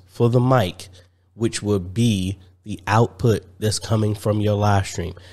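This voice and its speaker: At a fairly slow pace, a man speaks in a fairly low voice with fairly even intonation. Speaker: tech video creator. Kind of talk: tutorial. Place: home room. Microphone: studio mic.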